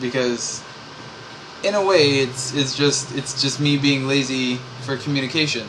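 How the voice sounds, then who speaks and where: A man mumbles at a very slow pace. Noticeable background noise and audible room echo fill the recording. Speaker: vlogger. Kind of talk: personal vlog monologue. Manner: mumbling; rambling, hesitant with many fillers.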